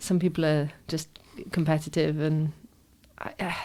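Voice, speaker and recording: At a fairly slow pace, a woman speaks in a dark, mellow tone. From Wales, Aberystwyth. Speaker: actress. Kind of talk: interview chat. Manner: halting, many fillers and restarts.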